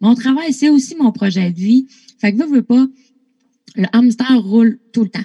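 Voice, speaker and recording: At a fairly slow pace with long, frequent pauses, a woman talks in a dark, mellow tone at a fairly high pitch with ordinary pitch variation, the sound dry and close with no echo. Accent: Lac-Saint-Jean. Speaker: artist manager. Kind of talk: casual interview.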